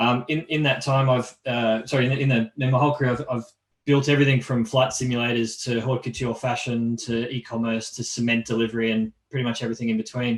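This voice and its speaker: A man talks at a very fast pace with an Australian accent. His medium-pitched voice is monotone and flat. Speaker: engineering executive. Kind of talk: panel self-introduction. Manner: halting with self-corrections.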